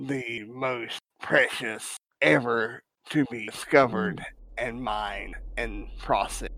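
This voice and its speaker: A man puts on a character voice at medium pitch, speaking at a fairly slow pace. The voice sounds strained, hoarse and raspy. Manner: wary, confiding, low.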